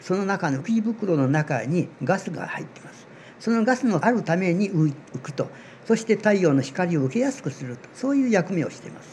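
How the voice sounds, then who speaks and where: This man's pitch is high and swings very widely. He talks at a moderate pace. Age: 80s+. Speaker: amateur seaweed researcher. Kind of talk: interview explanation.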